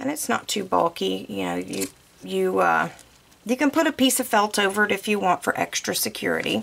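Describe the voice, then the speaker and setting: A woman talks with a Southern US accent. Her pace is moderate. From US South. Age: 40s. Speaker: bow-making crafter. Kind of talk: tutorial. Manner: casual, many fillers.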